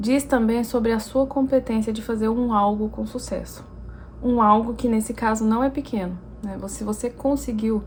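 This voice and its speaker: Noticeable background noise sits under a woman's fairly high voice. Her intonation is fairly even. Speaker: language teacher. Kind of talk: educational talk to camera.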